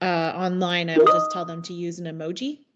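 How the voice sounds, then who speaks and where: Music plays behind a woman speaking at a fairly quick pace. Her pitch is fairly low. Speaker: university lecturer and researcher. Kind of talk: panel discussion. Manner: fast.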